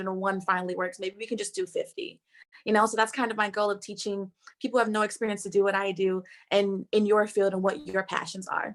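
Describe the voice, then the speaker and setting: On a very clean recording with a silent background, a woman talks at a very fast pace. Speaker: entrepreneur and speaking coach. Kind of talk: conference talk. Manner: animated.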